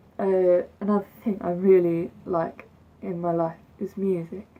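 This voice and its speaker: A woman with an English accent, fairly low pitch, monotone, flat intonation, and a very slow pace. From England. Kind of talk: casual talk to camera. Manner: droning, low-energy.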